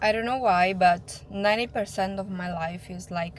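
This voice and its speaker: A woman with a non-native accent speaks at a fairly slow pace with fairly even intonation. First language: not English. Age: 20s. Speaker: vlogger. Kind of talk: casual vlog monologue. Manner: somewhat halting, searching for words.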